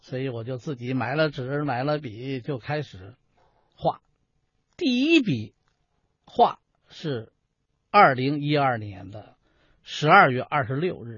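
Speaking very slowly with long, frequent pauses, a man keeps a medium pitch with ordinary pitch variation while his loudness swings widely. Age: 60s. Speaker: folk performing artist and painter. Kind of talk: interview.

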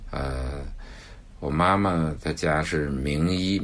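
This man's voice sits very deep and low, yet his intonation is lively. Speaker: children's author. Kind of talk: interview.

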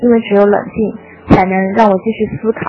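At a fairly slow pace, a woman with a fairly high pitch talks with fairly even intonation amid noticeable background noise. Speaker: listener sending voice message. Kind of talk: recorded listener message.

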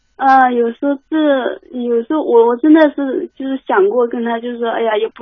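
A woman talks with a high pitch. The variation in her pitch is ordinary. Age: 20s. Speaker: caller. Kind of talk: phone call-in advice chat. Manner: halting.

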